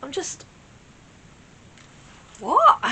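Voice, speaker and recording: A woman speaks with a British accent at a moderate pace. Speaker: Eurovision reaction YouTuber. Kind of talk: casual reaction talk to camera.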